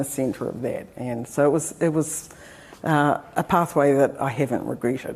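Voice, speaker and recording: This voice has a dark, mellow tone and a New Zealand accent. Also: woman. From New Zealand, Taranaki. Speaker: professor. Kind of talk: lecture. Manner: hesitant with frequent fillers.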